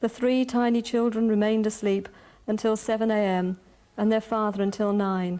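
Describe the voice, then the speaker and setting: A woman in a London accent talks at a moderate pace with a fairly high pitch, a dark, mellow tone, very even loudness and a monotone, flat intonation. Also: very clean recording, silent background. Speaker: poet and prose writer; social worker. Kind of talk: prose reading.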